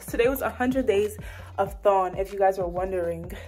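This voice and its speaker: Over faint music in the background, a woman speaks at a moderate pace with ordinary pitch variation. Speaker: student vlogger. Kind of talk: casual vlog chat. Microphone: phone near.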